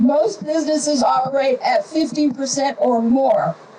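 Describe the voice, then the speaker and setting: Noticeable background noise runs behind a woman speaking at a fairly slow pace. Her voice is high-pitched, with lively intonation. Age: 70s. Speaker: town hall speaker. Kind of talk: public statement.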